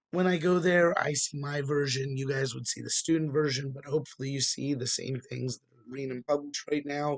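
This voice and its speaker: The voice is somewhat breathy. Its pace is moderate and its intonation fairly even. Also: man. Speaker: college math instructor. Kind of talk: tutorial.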